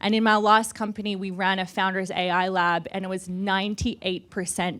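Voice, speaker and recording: A woman with an Australian accent talks at a moderate pace, her medium-pitched voice carrying fairly even intonation. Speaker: startup founder. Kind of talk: panel discussion.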